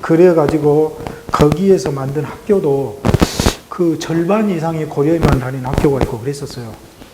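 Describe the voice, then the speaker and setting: Audible room echo and noticeable background noise surround a man talking at a moderate pace in a fairly high pitch. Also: ordinary pitch variation. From South Korea, Sinan, South Jeolla. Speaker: museum director, former Korean teacher. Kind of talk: interview.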